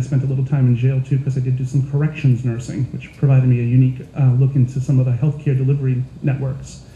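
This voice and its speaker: Noticeable background noise sits behind a man speaking at a very fast pace. His medium-pitched delivery is monotone, with flat intonation. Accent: American. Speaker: nurse and health IT consultant. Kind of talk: panel presentation.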